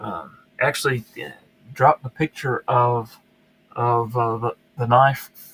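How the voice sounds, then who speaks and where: A speaker with a Southern US accent talks at a very slow pace with long, frequent pauses and ordinary pitch variation. The voice is somewhat breathy, with a dry, close sound and no echo. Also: man. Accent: southern twang. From US South, upstate South Carolina. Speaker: YouTube knife reviewer, live stream host. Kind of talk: casual live stream chat. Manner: halting, many fillers and repeats.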